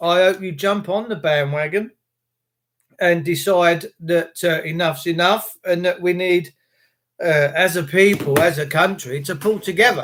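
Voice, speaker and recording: Speaking in an English accent, a man has a high pitch. He keeps a fairly slow pace with fairly even intonation. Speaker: livestreamer / activist. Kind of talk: live stream chat with viewers. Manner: uneven pitch, voice going up and down.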